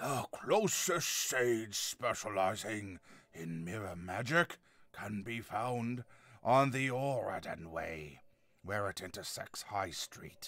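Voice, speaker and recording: Using a put-on character voice, a man delivers booming, raspy, gravelly lines at a fairly slow pace. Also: medium pitch for a man. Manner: booming, melodramatic.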